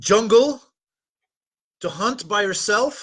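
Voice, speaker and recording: A speaker with a Dutch accent and a bright, sharp tone talks over a quiet background. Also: man. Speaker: dating and relationship coach. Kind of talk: live webinar talk.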